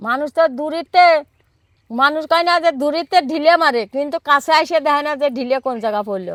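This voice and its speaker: With a high pitch and ordinary pitch variation, a woman speaks. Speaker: villager. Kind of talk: interview.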